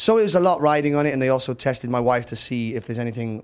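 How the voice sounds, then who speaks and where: Speaking at a very fast pace, a man with a Welsh accent uses a medium pitch. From Wales, Cardiff. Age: 30s. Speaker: musician. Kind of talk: casual interview. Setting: studio.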